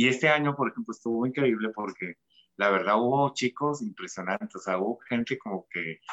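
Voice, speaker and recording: Lively intonation from a man at medium pitch, a normal speaking voice. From Tijuana, Mexico. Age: 40s. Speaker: fashion designer. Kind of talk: casual interview.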